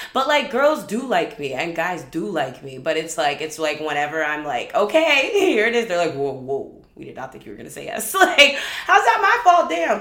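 A woman talks with hardly any pauses. Room echo is audible, and there is noticeable background noise. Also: moderate pace. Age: 20s. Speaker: podcast host; filmmaker. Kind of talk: casual monologue.

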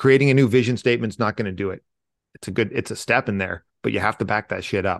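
The speech comes at a very fast pace with ordinary pitch variation. The sound is dry and close with no echo, against a quiet background. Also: man, fairly low pitch for a man. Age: 40s. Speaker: military veteran and leadership speaker. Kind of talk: interview.

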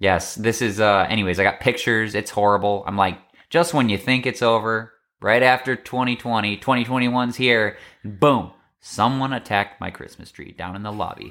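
A man with a bright, sharp tone speaks at a medium pitch and a fairly quick pace, his intonation fairly even but his loudness swinging widely. The recording is very clean, with a silent background. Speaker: podcast co-host. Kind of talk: casual chat.

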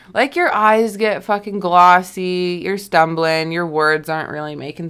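In an unremarkable speaking voice, a woman talks with a Canadian accent at a fairly low pitch. She keeps a moderate pace with ordinary pitch variation. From Alberta, Canada. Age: 20s. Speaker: podcast host. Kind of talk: personal monologue. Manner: casual, filler-heavy.

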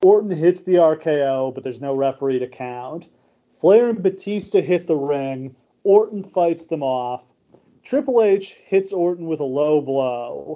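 A normal speaking voice at a fairly slow pace. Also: man. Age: 30s. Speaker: wrestling podcast host. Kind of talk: casual chat.

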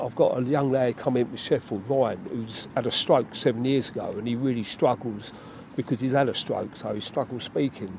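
Using a plain, everyday voice, a man speaks at a moderate pace with fairly even intonation. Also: medium pitch for a man. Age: 60s. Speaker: mental health worker and army veteran. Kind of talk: casual interview.

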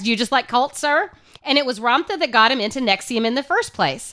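A raised, projected voice with an American accent moves at a fairly quick pace in an animated, bright, sharp tone. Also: woman. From Oklahoma. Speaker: podcast co-host. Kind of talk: casual comedic chat.

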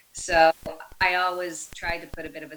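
Over music in the background, a woman with an American accent talks at a fairly slow pace. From Ireland, Galway. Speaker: physical therapist assistant and breast cancer survivor. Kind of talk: interview conversation.

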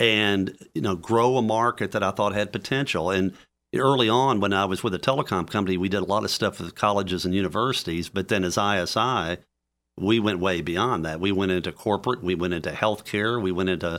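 Speaking at a fairly quick pace with a Tennessee accent, a man has a fairly low pitch and ordinary pitch variation on a very clean recording with a silent background. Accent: Southern US (Tennessee). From Memphis, Tennessee (US South), born in Louisiana. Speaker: entrepreneur and author. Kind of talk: interview.

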